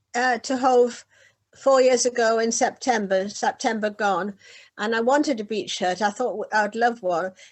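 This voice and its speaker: A woman with a northern English accent speaks at a moderate pace. Her pitch is fairly high, with ordinary variation. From northeast England, Whitley Bay. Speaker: beach hut owner and poet. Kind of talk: casual interview.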